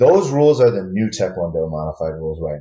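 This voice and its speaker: With an American accent, a man speaks at a moderate pace. His voice is medium in pitch, with a dark, mellow tone. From Michigan, Grand Rapids. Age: 30s. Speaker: martial arts instructor. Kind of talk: casual chat.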